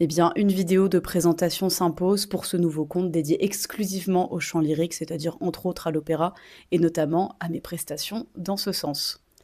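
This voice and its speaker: A woman speaks at a moderate pace with a fairly low pitch, fairly even intonation and a dark, mellow tone, on a very clean recording with a silent background. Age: 20s. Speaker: opera singer. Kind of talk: casual vlog.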